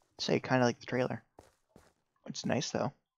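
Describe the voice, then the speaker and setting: Quiet and dry, a man's voice comes through close with no echo. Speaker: gaming youtuber. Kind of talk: gameplay commentary. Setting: at home, family sleeping. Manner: quiet, keeping voice down; hesitant, many fillers.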